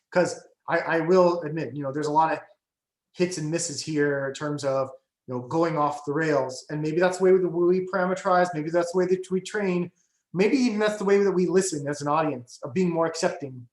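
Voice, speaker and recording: Audible room echo surrounds a man talking at a fairly quick pace in a high pitch with ordinary pitch variation. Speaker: AI researcher. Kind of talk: guest lecture with discussion. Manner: fast; many fillers and restarts.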